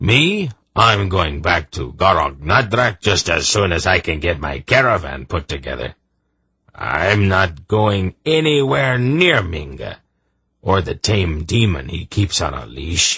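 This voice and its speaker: A man puts on a character voice that is gruff, raspy and very deep, in a very low pitch. He moves at a fairly slow pace with very wide pitch swings. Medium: read story. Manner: blunt, gruff.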